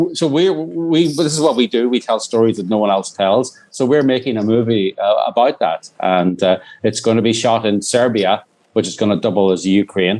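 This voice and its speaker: The man speaks at a medium pitch and a moderate pace. His intonation is lively. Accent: Irish. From Northern Ireland. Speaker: documentary filmmaker. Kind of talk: interview. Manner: halting, many restarts.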